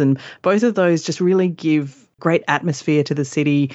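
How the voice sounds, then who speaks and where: In an Australian accent, a woman speaks at a moderate pace. Her pitch variation is ordinary. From Perth, Western Australia. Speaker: travel blogger. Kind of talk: casual interview.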